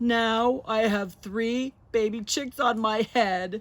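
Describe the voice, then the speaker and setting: This is a put-on character voice at a fairly high pitch. It goes at a very slow pace. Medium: read story. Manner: anxious, fretful.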